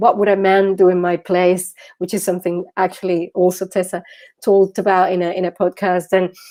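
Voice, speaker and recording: Speaking in a Venezuelan accent, a woman keeps a moderate pace and medium pitch with monotone, flat intonation. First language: Spanish. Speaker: social entrepreneur, founder. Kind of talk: interview. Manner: halting, many fillers and repetitions.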